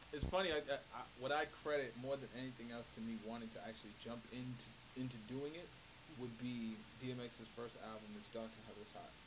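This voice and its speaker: With an American accent, a medium-pitched man talks at a fairly quick pace, with ordinary pitch variation and big swings in loudness, over noticeable background noise and audible room echo. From New York, Harlem. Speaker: hip hop artist. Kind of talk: casual interview chat. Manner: hesitant, many fillers.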